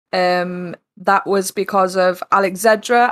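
The woman has an East Midlands accent and fairly even intonation. Her voice sounds dry and close, with no echo. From East Midlands, England. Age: 20s. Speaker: streamer and soldier. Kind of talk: casual interview.

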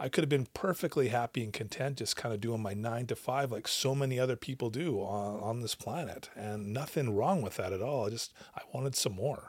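Speaking with a Canadian accent at a fairly quick pace and hardly any pauses, a man has an unremarkable speaking voice at medium pitch with ordinary pitch variation. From Western Canada (British Columbia). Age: 40s. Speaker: addiction recovery coach and counsellor. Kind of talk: casual interview.

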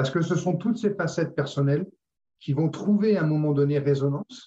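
A man talks at a moderate pace in a dark, mellow tone that is somewhat breathy. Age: 60s. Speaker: retired sales director. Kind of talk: interview conversation. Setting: video call.

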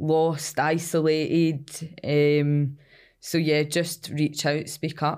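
Very slowly and in a monotone, flat intonation, someone with a Glasgow accent speaks at a very even loudness. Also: woman, very deep, low pitch for a woman. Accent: Scottish (Glasgow area). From Scotland, Cumbernauld. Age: 20s. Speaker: addiction recovery worker. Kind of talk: interview.

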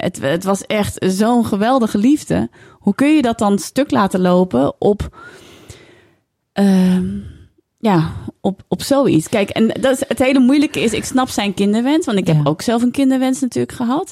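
A woman's fairly high, dark and mellow voice with very wide pitch swings at a fairly slow pace, dry and close with no echo. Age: 40s. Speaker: author and broadcaster. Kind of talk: casual interview chat.

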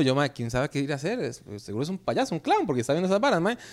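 Very fast speech from a man with a Costa Rican accent. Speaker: comedian and podcaster. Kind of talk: casual chat.

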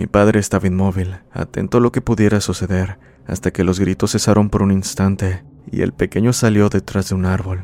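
A man talks at a fairly quick pace and a fairly low pitch. His intonation is monotone and flat, and his tone is dark and mellow. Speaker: horror story podcast narrator. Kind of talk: ghost story telling, scripted narration of listener-submitted horror tale.

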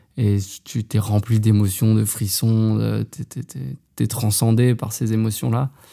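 Speaking at a very slow pace with long, frequent pauses, a man uses a fairly low pitch, a dark, mellow tone and monotone, flat intonation. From Haute-Savoie, France. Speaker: professional trail runner. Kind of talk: interview. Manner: casual, with filler hesitations.

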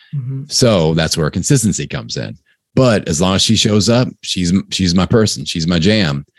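Energetic and animated, a man with a very deep, low pitch and vocal fry talks at a moderate pace through very wide pitch swings. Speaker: podcasting coach. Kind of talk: casual interview. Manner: energetic, animated.

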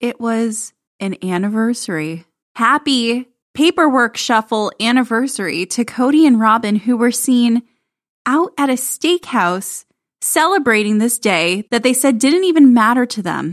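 A woman with a fairly high pitch talks at a fairly slow pace in an animated tone with lively intonation, on a very clean recording with a silent background and a dry, close sound with no echo. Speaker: podcast host. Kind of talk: casual recap chat. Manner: animated, sarcastic.

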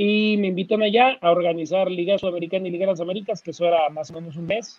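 This man's pitch is high and his intonation fairly even. He talks at a very fast pace. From Mexico, Torreón. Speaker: basketball sports agency founder. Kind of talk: interview.

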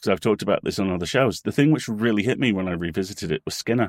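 A man with an English accent talks at a very fast pace, the sound dry and close with no echo. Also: very clean recording, silent background. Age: 40s. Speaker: podcast company co-owner and writer. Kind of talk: casual chat.

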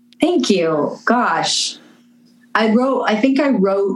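Very wide pitch swings from a woman's voice, set against noticeable background noise. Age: 30s. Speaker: musician. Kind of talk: casual chat.

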